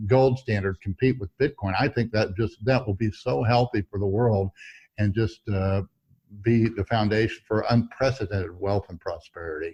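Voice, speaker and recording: Over a quiet background, a man speaks at a moderate pace in a fairly low, somewhat breathy voice with a dark, mellow tone. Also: ordinary pitch variation. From Missouri, US Midwest. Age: 70s. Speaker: veteran trader. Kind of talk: interview. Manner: halting.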